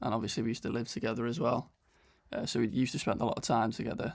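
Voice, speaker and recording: In a North Welsh accent, a man with vocal fry talks at a medium pitch on a very clean recording with a silent background. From Wales. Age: 20s. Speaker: vlogger and online fitness coach. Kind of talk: casual vlog narration.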